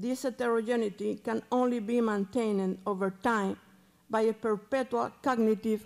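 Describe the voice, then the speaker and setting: A woman's fairly high voice with a Cuban accent, fairly even intonation, very even loudness, and a moderate pace against a quiet background. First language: Spanish. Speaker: museum curator. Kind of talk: reading prepared paper. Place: hall. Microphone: podium.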